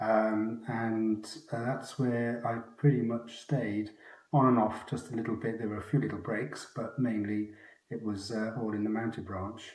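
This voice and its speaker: Audible room echo surrounds a man speaking at medium pitch and a moderate pace in a monotone, flat intonation. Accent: Welsh. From Wales. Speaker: retired mounted police officer. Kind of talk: interview.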